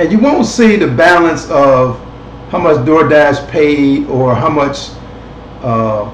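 At a fairly slow pace, a man talks with ordinary pitch variation amid light background noise and audible room echo. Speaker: online show host. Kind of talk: casual commentary. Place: home room. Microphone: webcam.

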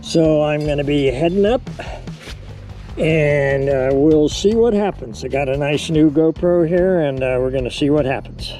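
A man talks at a moderate pace with ordinary pitch variation. The sound is dry with no echo, and faint music plays in the background. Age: 80s+. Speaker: rock climber. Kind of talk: casual talk to camera. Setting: outdoors. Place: open country. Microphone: phone near.

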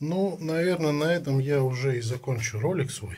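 A man speaks in a somewhat breathy voice with ordinary pitch variation. Light background noise sits underneath. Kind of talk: casual tutorial narration. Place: home room. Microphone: phone near.

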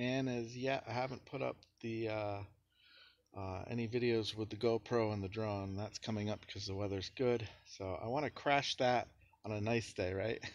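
Fairly even intonation from a man, at a moderate pace. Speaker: vlogger. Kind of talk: casual vlog chat. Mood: cheerful, laughing. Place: street. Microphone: phone near.

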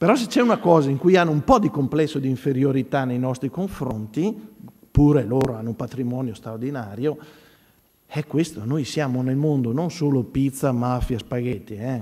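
Pitched at a medium level with ordinary variation, this man has an ordinary speaking voice. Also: moderate pace. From Veneto, Italy. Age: 50s. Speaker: priest and church art educator. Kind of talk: conference talk.

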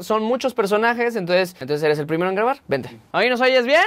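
Lively intonation marks this man's high-pitched voice, which has a fairly bright tone and a fairly quick pace.

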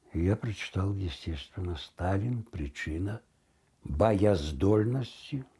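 Somewhat breathy, a man talks in a dark, mellow tone with lively intonation. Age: 80s+. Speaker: radio announcer. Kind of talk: interview answer. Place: home room. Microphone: lapel.

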